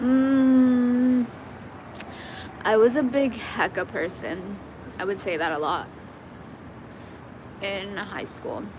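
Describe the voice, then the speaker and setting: With audible room echo and noticeable background noise, someone with an American accent speaks very slowly. The intonation is lively, broken by long, frequent pauses. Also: woman, fairly high pitch for a woman. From Northern California, Central Valley. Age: 20s. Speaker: livestreamer. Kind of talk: casual chat. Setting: solo livestream.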